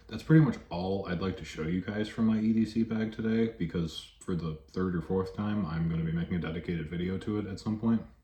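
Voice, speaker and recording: A man talks at a very fast pace with a very deep, low pitch. His tone is dark and mellow, somewhat breathy, with ordinary pitch variation. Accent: American. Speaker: vlogger. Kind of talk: casual vlog. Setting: at work.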